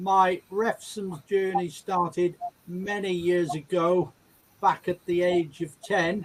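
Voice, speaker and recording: Very slow, monotone speech from a high-pitched man with an English accent, the intonation flat throughout. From England. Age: 70s. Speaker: patient sharing illness story, retired nurse. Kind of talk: personal testimony.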